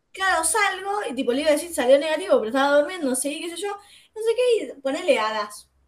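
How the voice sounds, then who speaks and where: Her pitch extremely high, a woman speaks at a fairly quick pace with very wide pitch swings. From Buenos Aires south zone (Guernica). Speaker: podcast host. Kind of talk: casual chat. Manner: animated.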